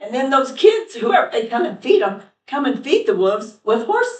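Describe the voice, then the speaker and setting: This woman talks at a moderate pace with a high pitch and very wide pitch swings. Her tone is animated. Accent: American. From Putnam County, US (rural). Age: 60s. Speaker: rancher and school bus driver. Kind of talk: public comment at county meeting.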